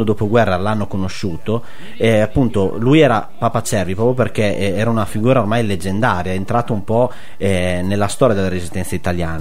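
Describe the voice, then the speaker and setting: Over noticeable background noise, a man with a fairly low pitch and ordinary pitch variation talks at a very fast pace. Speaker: web radio host. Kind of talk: radio talk show, conversational. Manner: hesitant, filler-heavy.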